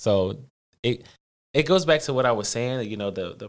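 With ordinary pitch variation, the man keeps to a moderate pace. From West Philadelphia. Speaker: college student, activist. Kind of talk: casual interview.

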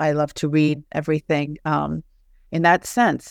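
On a very clean recording with a silent background, a woman with an American accent speaks fairly slowly at a very deep, low pitch. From Charleston, West Virginia. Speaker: author and professor. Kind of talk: casual interview.

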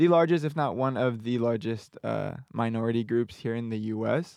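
A man with an American accent, medium pitch, ordinary pitch variation and a moderate pace. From Southern California. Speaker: university student leader. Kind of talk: casual interview chat. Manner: animated.

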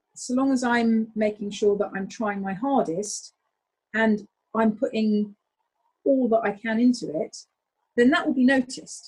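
Somewhat breathy and animated, a woman talks at a fairly high pitch. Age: 40s. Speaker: taekwondo instructor and English teacher. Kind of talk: casual interview.

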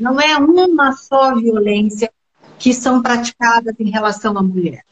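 A woman speaks at a very slow pace in a high voice with lively intonation. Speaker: retired police chief and politician. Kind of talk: live-stream interview.

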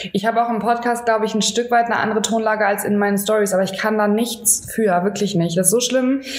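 A woman speaks very fast in a monotone, flat intonation at very even loudness, with audible room echo and noticeable background noise. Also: hardly any pauses. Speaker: fitness podcast co-host. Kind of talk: casual chat. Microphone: no microphone, defective adapter.

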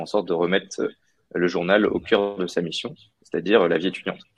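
A man's very deep, low voice at a moderate pace. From France and Mauritius. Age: 20s. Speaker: business graduate, former student newspaper editor. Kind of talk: interview. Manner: hesitant, many fillers.

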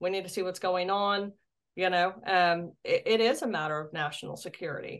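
The speaker moves at a fairly quick pace. The intonation stays fairly even. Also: woman, medium pitch for a woman. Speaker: UFO investigator and state director. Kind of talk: casual interview. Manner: articulate.

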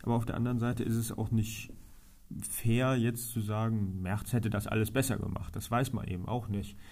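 Moderate pace and monotone, flat intonation, with audible room echo in the space. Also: man, medium pitch for a man. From Germany, Trier. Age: 30s. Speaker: local politician. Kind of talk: interview.

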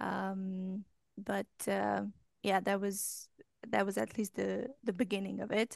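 Against a quiet background, a woman speaks at a very slow pace with a Romanian accent. Her long pauses come frequently. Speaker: English language coach. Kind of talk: casual chat.

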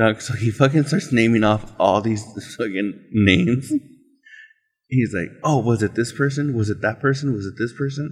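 Somewhat breathy, a man talks at a moderate pace. His pitch is medium, with ordinary pitch variation. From Mexican-American, US Southwest. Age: 30s. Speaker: podcast host. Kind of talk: casual chat. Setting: on location.

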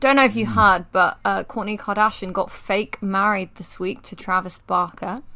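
A woman speaks at a medium pitch with vocal fry and ordinary pitch variation. Her pace is moderate, and her loudness swings widely. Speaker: podcast host. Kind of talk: casual chat.

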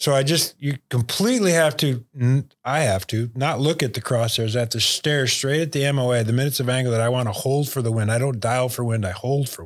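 On a very clean recording with a silent background, a man with a plain, everyday voice and an American accent talks at a fairly quick pace with hardly any pauses, at medium pitch and with ordinary pitch variation. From Michigan, near Bay City. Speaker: retired mortgage company CEO and hunter. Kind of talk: casual interview chat.

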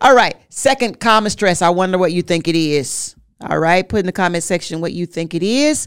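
A woman speaks at a moderate pace with lively intonation and a fairly low pitch, in an ordinary speaking voice. The recording is very clean, with a silent background. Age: 50s. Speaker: marriage podcast co-host. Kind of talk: casual chat.

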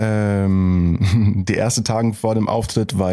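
A man speaks with a dark, mellow tone at a fairly low pitch. His intonation stays fairly even. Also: quiet background. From Germany, Heilbronn area (Baden-Württemberg). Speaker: rapper. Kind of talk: interview.

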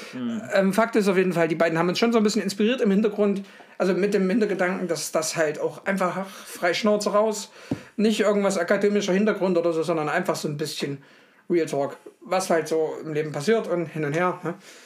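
A man speaks at a fairly quick pace in a high pitch with ordinary pitch variation. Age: 30s. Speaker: podcast co-host. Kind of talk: casual chat.

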